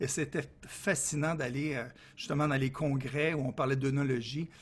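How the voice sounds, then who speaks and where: A man with a Quebec accent speaks at a fairly slow pace in a fairly high, somewhat breathy voice. The recording is very clean, with a silent background. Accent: Québécois French. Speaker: consultant. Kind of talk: interview. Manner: lively, cheerful.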